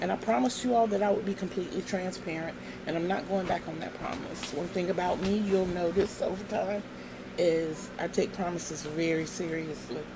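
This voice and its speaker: Music plays in the background as a woman with a fairly low voice talks at a fairly quick pace, with audible room echo. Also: ordinary pitch variation. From Virginia. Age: 60s. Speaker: craft vlogger. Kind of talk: casual vlog monologue.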